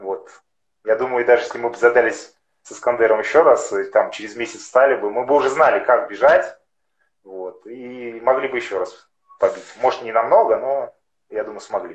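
A man speaks at a moderate pace with long, frequent pauses and big swings in loudness. Audible room echo is present. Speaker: amateur marathon and ultramarathon runner; guest. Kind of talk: interview. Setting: video call over mobile internet. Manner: halting, many fillers. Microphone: unstable connection.

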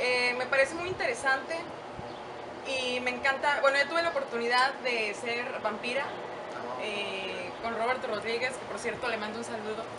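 Loud background noise surrounds a woman who talks at a moderate pace. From Mexico, San Luis Potosí. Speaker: radio host, TV presenter and actress. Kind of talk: casual interview. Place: garden.

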